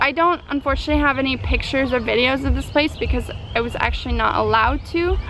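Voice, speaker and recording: A woman talks at a fairly quick pace in an American accent, her tone animated. Background noise is noticeable. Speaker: travel vlogger. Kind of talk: travel vlog. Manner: fast.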